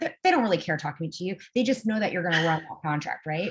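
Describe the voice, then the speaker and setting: This woman has a fairly low pitch and a somewhat breathy voice. She talks with a West Coast US accent. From Los Angeles, US. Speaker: tech program director. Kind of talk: interview. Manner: fast; hesitant, many fillers.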